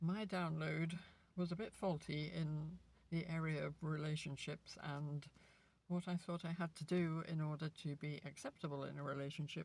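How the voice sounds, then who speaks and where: A woman's very deep, low voice, somewhat breathy and monotone, at a fairly slow pace. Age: 60s. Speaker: lifestyle vlogger. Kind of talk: casual monologue. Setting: outdoors. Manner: hesitant, with fillers.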